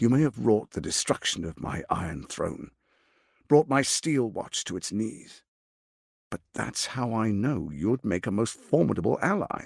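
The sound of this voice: A man does a put-on character voice at a fairly low pitch, with vocal fry, a slightly husky edge, big pitch swings and a fairly slow pace. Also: very clean recording, silent background.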